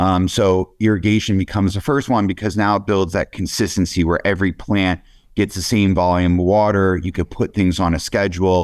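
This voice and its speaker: In a very clean recording with a silent background, a man with an American accent speaks at a fairly quick pace, very deep and low in pitch, with fairly even intonation and very even loudness. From Pennsylvania, US. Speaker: cannabis cultivation consultant. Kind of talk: interview.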